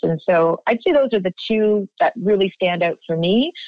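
In a Canadian accent, a woman with a plain, everyday voice speaks at medium pitch and a moderate pace, with ordinary pitch variation. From Canada, Ontario (near Toronto). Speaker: nonprofit founder and director. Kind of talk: interview.

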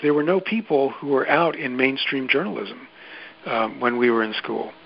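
Over noticeable background noise, a man with an American accent talks at a fairly quick pace with ordinary pitch variation. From New York City, Queens. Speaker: journalist and podcast producer. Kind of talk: interview.

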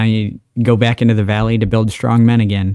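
A man with an American accent speaks at a moderate pace and fairly low pitch. He has a normal speaking voice with fairly even intonation. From Pennsylvania. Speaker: podcast co-host. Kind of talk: podcast interview.

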